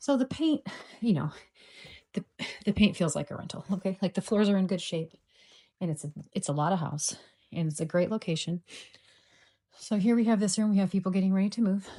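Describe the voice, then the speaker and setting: A woman speaks at a fairly quick pace, with long, frequent pauses and ordinary pitch variation. Her dark, mellow tone is somewhat breathy, and the sound is dry and close with no echo. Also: medium pitch for a woman. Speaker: real estate agent. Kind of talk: property walkthrough tour. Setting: indoors, walking through a house. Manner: casual, filler-heavy; lowered voice.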